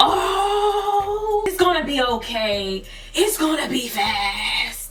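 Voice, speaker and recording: A woman speaks very slowly in a put-on character voice pitched extremely high. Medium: solo performance. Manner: overly friendly, reassuring.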